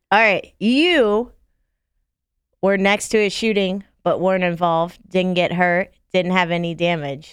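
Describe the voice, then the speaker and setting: A woman with an American accent speaks in a plain, everyday voice at a fairly slow pace, with medium pitch, ordinary pitch variation and very even loudness. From Florida, Palm Beach County. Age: 30s. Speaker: podcast co-host. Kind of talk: casual chat.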